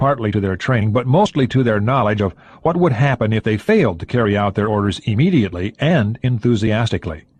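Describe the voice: This clip is plain reading aloud, and its pitch variation is ordinary.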